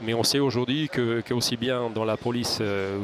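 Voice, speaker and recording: Speech at a moderate pace with fairly even intonation comes through over noticeable background noise. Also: man. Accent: Hungarian. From Hungary. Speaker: security company executive, ex-legionnaire. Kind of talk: interview. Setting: studio. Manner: halting, many repetitions.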